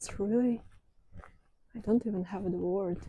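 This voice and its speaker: A woman speaks at a medium pitch with a somewhat breathy voice. Her tone is dark and mellow. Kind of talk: ASMR walking talk to camera. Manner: soft-spoken, slow.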